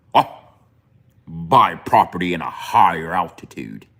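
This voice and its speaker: A man puts on a character voice pitched very deep and low. He keeps to a moderate pace. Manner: mocking.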